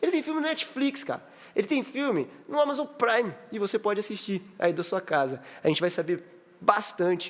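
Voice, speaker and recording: This man speaks with lively intonation. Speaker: podcast host. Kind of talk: casual chat.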